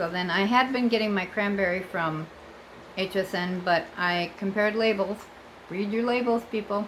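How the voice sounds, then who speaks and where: A woman with an American accent speaks at medium pitch. Her intonation is fairly even, with noticeable background noise. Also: moderate pace. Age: 60s. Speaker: vlogger. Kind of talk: casual vlog monologue. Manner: chatty, with fillers and self-corrections.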